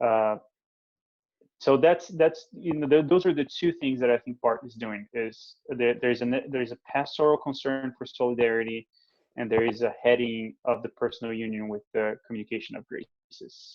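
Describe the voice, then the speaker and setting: With a Portuguese accent, a man talks at a moderate pace in a medium pitch with ordinary pitch variation. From Brazil. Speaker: theologian. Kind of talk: interview. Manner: halting.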